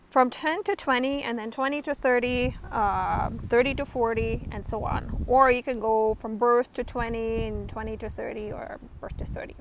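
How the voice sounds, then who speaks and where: Speech moves at a moderate pace with hardly any pauses, in a Russian accent. The loudness swings widely from moment to moment. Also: woman. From Kazakhstan and Germany. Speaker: business coach. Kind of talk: tutorial. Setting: outdoors on a deck. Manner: casual, halting with fillers.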